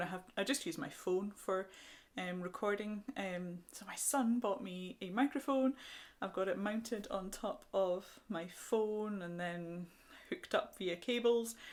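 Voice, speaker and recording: A soft-spoken woman's medium-pitched voice, with fairly even intonation and big swings in loudness. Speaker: crochet podcaster. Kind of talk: casual chat. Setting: home recording. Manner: fast.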